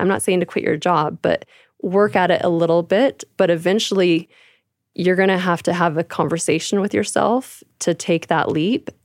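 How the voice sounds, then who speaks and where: A woman with an American accent talks at a moderate pace in a fairly low voice with fairly even intonation. The recording is very clean with a silent background, and the sound is dry and close with no echo. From California, rural. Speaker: beauty business owner. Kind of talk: interview.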